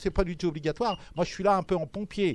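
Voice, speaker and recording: Fairly even intonation carries speech delivered very fast. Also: man. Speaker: event moderator. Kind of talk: event introduction. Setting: bookshop talk with audience.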